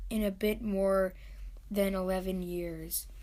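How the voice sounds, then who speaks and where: This is a woman speaking at a medium pitch. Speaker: family narrator. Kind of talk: narration.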